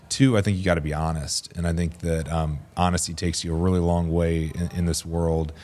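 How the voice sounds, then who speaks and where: Very deep and low in pitch, a man with an American accent speaks at a fairly quick pace in a dark, mellow tone with fairly even intonation. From US South. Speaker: physician scientist. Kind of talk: casual interview.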